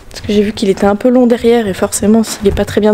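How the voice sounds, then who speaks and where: Noticeable background noise behind a very fast, monotone, flat delivery. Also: woman. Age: 20s. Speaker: horse owner vlogger. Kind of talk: vlog monologue. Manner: casual, hesitant; soft-spoken.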